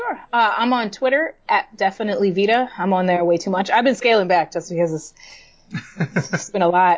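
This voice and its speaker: A woman at medium pitch and a moderate pace, in an ordinary speaking voice. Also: ordinary pitch variation. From New York City (Puerto Rican family). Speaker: comic book writer. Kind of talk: casual interview chat.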